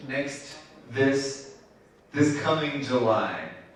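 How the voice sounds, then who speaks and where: Through audible room echo and noticeable background noise, a man speaks at a very slow pace. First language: Spanish. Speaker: event host. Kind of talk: instructions to audience.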